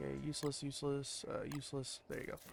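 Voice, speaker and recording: Over background music, a soft-spoken man talks at a fairly high pitch. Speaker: video game streamer. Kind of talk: gameplay commentary.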